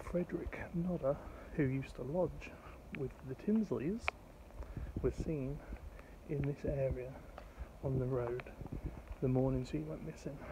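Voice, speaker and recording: A man talks at a fairly slow pace with long, frequent pauses and ordinary pitch variation, his dry sound carrying no echo over noticeable background noise. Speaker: true crime vlogger. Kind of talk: walking vlog commentary. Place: street. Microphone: phone near.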